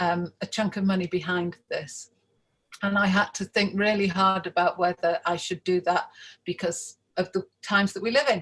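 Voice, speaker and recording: A plain, everyday voice moves at a moderate pace with fairly even intonation, recorded with a dry, close sound and no echo. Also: woman, medium pitch for a woman. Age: 60s. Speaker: events business owner. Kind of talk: interview. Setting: video call from home attic.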